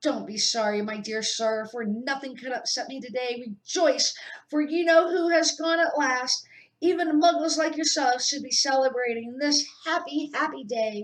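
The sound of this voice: A squeaky, put-on character voice, female-sounding and high pitched, at a moderate pace.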